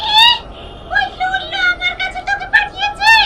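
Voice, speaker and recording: A female-sounding put-on character voice comes at an extremely high pitch and a moderate pace. Light background noise is present. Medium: short film. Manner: irritable, sharp.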